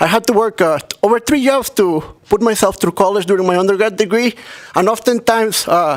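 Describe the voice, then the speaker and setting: A man talks at a fairly quick pace with a high pitch. His pitch variation is ordinary. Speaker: graduate student representative. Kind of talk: public comment at hearing. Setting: legislative committee hearing room.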